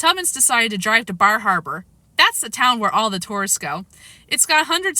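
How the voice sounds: A natural reading voice delivers the lines with lively intonation.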